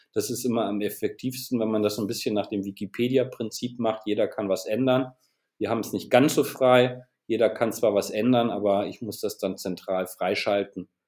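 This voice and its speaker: The speaker is a man with a medium pitch. He talks at a moderate pace with fairly even intonation. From northern Germany, Bremen. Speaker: chess web developer and designer. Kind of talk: interview. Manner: halting.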